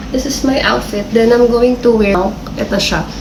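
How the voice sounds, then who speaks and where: A woman at a very slow pace and fairly high pitch, with audible room echo and noticeable background noise. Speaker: lifestyle vlogger. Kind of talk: casual vlog. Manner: animated.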